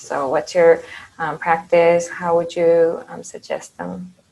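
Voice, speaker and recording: A woman speaks at a fairly slow pace and fairly low pitch. Noticeable background noise runs under her voice. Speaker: interviewer, former student. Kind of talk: interview. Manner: halting.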